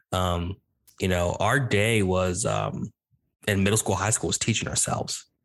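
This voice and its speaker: Against a quiet background, a man with an American accent speaks in a very deep, low pitch with vocal fry, fairly even intonation and very even loudness. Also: moderate pace. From various US regions: East Coast, Midwest, Southwest. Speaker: podcast host, homeschool graduate. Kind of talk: casual interview chat.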